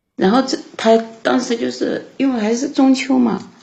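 A woman is speaking. Her voice has vocal fry. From Sichuan, China. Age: 40s. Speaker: caller to an advice show. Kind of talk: phone-in call about her marriage.

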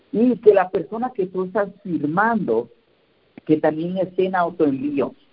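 Lively intonation carries a man's high-pitched voice as he speaks at a fairly slow pace. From Mexico, Oaxaca. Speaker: network marketing team leader. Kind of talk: motivational team call. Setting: conference call. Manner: halting, many fillers.

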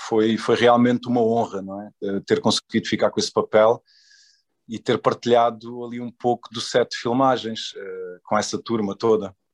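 At a moderate pace and medium pitch, a man speaks in a monotone, flat way with big swings in loudness, the sound dry and close with no echo. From Portugal. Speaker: actor. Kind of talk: interview. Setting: video call. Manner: hesitant with fillers.

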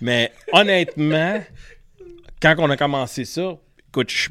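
A man with a Quebec accent speaks at a fairly slow pace in a bright, sharp tone, his pitch swinging very widely. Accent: Québécois French. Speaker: fishing pro-staffer. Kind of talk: casual chat.

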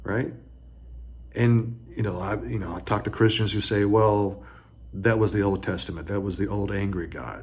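A man with an American accent speaks at a moderate pace in a fairly low pitch. His intonation is lively, and there is vocal fry in his voice. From US South. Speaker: high school economics teacher, commentator. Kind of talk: opinion monologue. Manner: animated, indignant.

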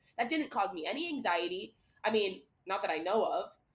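A woman talks at a moderate pace and medium pitch. Hers is a plain, everyday voice. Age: 20s. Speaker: podcast co-host. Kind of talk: casual chat.

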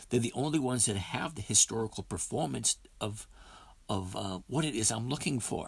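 This man talks at a moderate pace with vocal fry. His medium-pitched voice has lively intonation. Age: 50s. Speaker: podcast host, dividend stock trader. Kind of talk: live trading session talk. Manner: casual, conversational.

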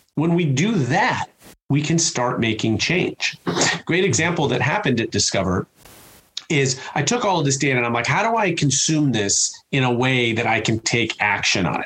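A fairly high-pitched man with a Chicago accent, at a moderate pace, with very wide pitch swings. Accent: Chicago American. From US Midwest, Chicago. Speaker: customer experience speaker and author. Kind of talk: interview conversation.

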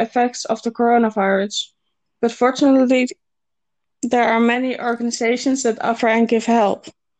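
In a Dutch accent, a woman speaks at a moderate pace with a high pitch, monotone, flat intonation and very even loudness. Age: 20s. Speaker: university student. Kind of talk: scripted interview. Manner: formal.

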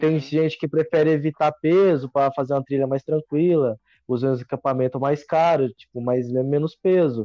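Speaking at a moderate pace, a man uses a normal speaking voice with a fairly high pitch. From Minas Gerais, Brazil. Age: 20s. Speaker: hiker. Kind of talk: casual chat.

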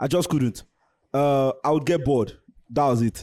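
In an ordinary speaking voice, a man talks at a fairly quick pace with a fairly high pitch and ordinary pitch variation, in a dry, close sound with no echo. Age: 20s. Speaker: tech YouTuber. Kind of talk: casual interview chat.

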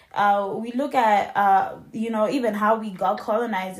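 Intonation stays fairly even throughout. There is a somewhat breathy sound to the voice. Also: woman. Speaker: podcast host. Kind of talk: casual chat.

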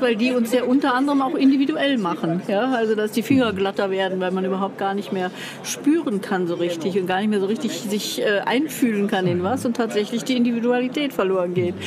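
Noticeable background noise sits behind a woman talking at a fairly quick pace. Her pitch is fairly high, with ordinary variation. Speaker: publishing coach. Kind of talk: casual chat. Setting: book fair.

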